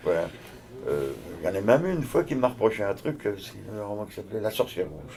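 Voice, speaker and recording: Over noticeable background noise, a man with a fairly low voice talks at a very fast pace, with very wide pitch swings, big swings in loudness and long, frequent pauses. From France, Vosges (Saint-Dié-des-Vosges). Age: 70s. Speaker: novelist. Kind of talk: interview. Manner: hesitant, informal with many fillers.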